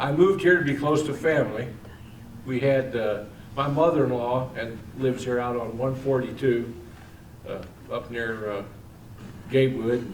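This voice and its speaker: A man with an American accent at medium pitch, moderate pace, ordinary pitch variation, long and frequent pauses, and audible echo from the room. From Missouri, Imperial. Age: 60s. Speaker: political candidate. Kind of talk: campaign speech. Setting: public meeting.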